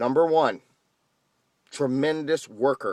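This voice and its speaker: Over a quiet background, a man speaks in an intense tone with fairly even intonation, the sound dry and close with no echo. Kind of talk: casual ranting talk to camera. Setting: recorded late at night in an apartment. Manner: loud, intense, emphatic.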